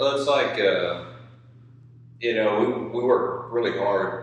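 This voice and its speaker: A man talks at a moderate pace amid audible room echo and noticeable background noise. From eastern Kentucky. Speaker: clothing brand co-founder. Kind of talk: casual chat.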